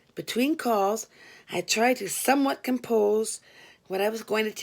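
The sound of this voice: The text is read in an unforced reading voice. That is how it is delivered.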